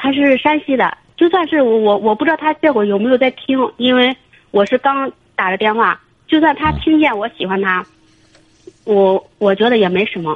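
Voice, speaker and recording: Moving at a moderate pace, a woman speaks in a high pitch. Her intonation is lively. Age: 30s. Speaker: caller. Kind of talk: phone-in confession. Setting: phone call. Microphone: echo on the line.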